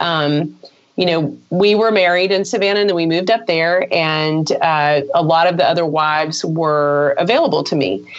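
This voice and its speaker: A woman with an unremarkable speaking voice, fairly low in pitch, talks at a moderate pace with very even loudness and ordinary pitch variation. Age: 40s. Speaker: business owner and spouse of a quadriplegic. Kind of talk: interview.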